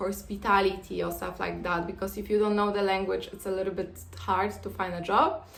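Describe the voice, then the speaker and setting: A woman speaks with a Polish accent at a moderate pace, and there is audible room echo. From Poland. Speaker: vlogger. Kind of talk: casual advice talk to camera. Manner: hesitant, many fillers.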